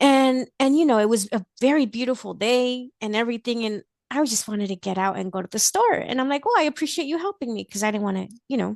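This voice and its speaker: At a very fast pace, a woman speaks in a slight Mexican accent with a fairly high pitch, lively intonation and an animated tone. The sound is dry and close with no echo, against a quiet background. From Mexico (Veracruz), then Los Angeles from age five. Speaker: blind guest sharing experiences and recipes. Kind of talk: casual interview chat.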